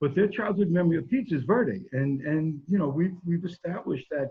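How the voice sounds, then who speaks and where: With an ordinary speaking voice and lively intonation, a man talks at a fairly quick pace. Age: 60s. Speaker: pizzeria owner. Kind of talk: interview.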